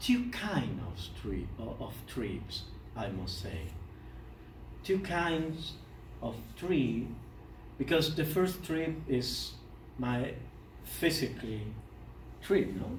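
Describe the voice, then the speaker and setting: This man talks at a very slow pace with a Spanish accent. Long, frequent pauses break up his speech, and room echo is audible. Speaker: poet. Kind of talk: lecture. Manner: halting.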